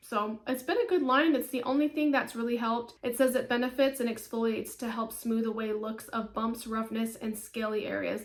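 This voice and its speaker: Noticeable noise fills the background. A woman speaks fairly quickly at a fairly high pitch. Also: hardly any pauses. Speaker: beauty and home fragrance vlogger. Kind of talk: casual product review vlog. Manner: conversational, chatty.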